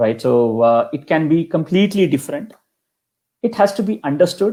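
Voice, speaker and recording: Moderate pace, very wide pitch swings, and a Kannada accent. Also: man, high pitch for a man. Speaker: kanjira percussionist. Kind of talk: interview. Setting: live stream interview.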